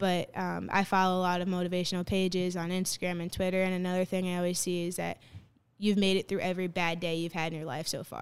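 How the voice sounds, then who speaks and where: In a very clean recording with a silent background, a woman with an American accent talks at a very fast pace in a fairly low pitch, her intonation monotone and flat. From New Jersey, Bloomfield. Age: 20s. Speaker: college softball player. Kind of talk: interview.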